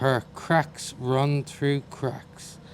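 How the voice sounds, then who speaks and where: A man with an Irish accent, at a very slow pace. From Ireland. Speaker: poet. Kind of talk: poetry reading.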